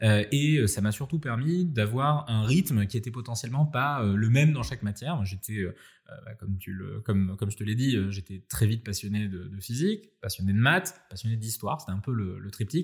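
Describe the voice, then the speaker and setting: Over a very clean recording with a silent background, a somewhat breathy man at medium pitch speaks at a moderate pace with lively intonation. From France, Nice. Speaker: AI entrepreneur and researcher. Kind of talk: interview conversation.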